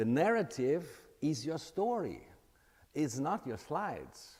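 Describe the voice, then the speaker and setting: A man talks at a very slow pace with vocal fry and very wide pitch swings. The recording is very clean, with a silent background. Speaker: presentation coach. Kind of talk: workshop talk. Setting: room with live and virtual audience. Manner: animated, with deliberate pauses.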